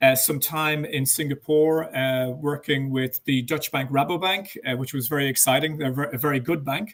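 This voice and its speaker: In an Irish accent, a man talks at a moderate pace with a fairly high pitch and fairly even intonation. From Ireland. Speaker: banking executive. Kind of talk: interview. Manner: hesitant, many fillers.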